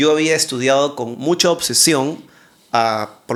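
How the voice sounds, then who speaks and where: At a moderate pace, a man talks in a plain, everyday voice at a medium pitch with fairly even intonation. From Peru. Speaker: TV presenter and interviewer, content creator. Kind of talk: casual interview chat.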